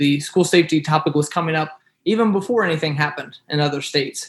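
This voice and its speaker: A man talks with an American accent. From US Midwest, southwest Ohio. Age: young. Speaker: state legislator. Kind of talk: interview. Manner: halting, many fillers.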